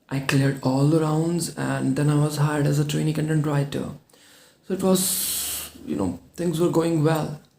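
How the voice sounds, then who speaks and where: A man talks fairly slowly in a fairly high register, with ordinary movement in his pitch. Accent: non-native. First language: not English. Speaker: English speaking coach. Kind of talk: personal story told to camera.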